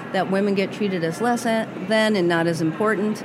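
A woman with an American accent speaks at a moderate pace in a medium pitch with fairly even intonation. Noticeable background noise and audible room echo are present. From Massachusetts. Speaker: retired fire captain and author. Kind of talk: interview. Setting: podcast booth at a busy conference.

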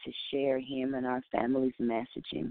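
With an American accent, a woman talks at a moderate pace in a very deep, low pitch and monotone, flat intonation. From Oakland, California. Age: 30s. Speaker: bereaved mother and activist. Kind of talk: interview. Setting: phone call.

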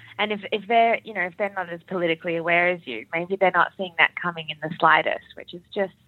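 A woman talks at a medium pitch with an Australian accent. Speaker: doctor in training as general practitioner. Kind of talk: casual chat. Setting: remote call.

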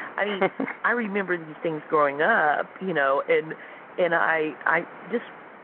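At a moderate pace, a woman speaks with ordinary pitch variation amid noticeable background noise. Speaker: former NASA contractor employee and UFO experiencer. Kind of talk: interview. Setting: phone call. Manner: soft-spoken.

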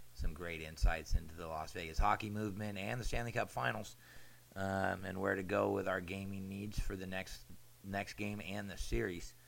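A man with an American accent speaks at a very deep, low pitch with vocal fry. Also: ordinary pitch variation, moderate pace. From Southern California. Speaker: podcast host. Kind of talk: casual chat.

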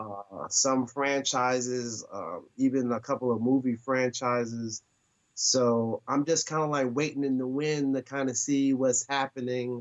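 A man at medium pitch with an American accent, his intonation monotone and flat. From Newark, New Jersey. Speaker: actor and comedian. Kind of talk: interview.

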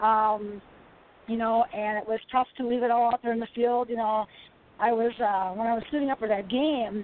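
With an American accent, a woman speaks in an unremarkable speaking voice at a fairly high pitch, keeping fairly even intonation and a fairly quick pace. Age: 50s. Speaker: retired women's football player. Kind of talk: interview.

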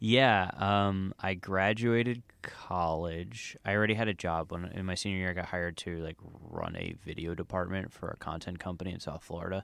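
In a very clean recording with a silent background, a man with an American accent speaks at a moderate pace with hardly any pauses, his pitch very deep and low and his intonation fairly even. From New Jersey. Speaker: TV and podcast producer. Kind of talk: casual interview chat. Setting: comic book store. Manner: halting.

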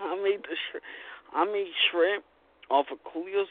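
A man in a Long Island accent talks at a fairly slow pace. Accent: New York (Long Island). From Long Island, New York. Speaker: caller. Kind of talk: casual chat. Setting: phone call.

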